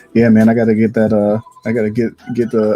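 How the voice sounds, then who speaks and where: With noticeable background noise, a man speaks fairly quickly in an American accent. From Ohio, US tri-state area. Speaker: photographer and live streamer. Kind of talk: live stream editing tutorial. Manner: casual, halting.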